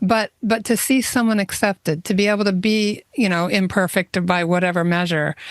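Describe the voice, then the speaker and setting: A woman speaks in an ordinary speaking voice at a medium pitch, a moderate pace and very even loudness, with ordinary pitch variation. The sound is dry and close with no echo, over a quiet background. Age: 60s. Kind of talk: casual chat.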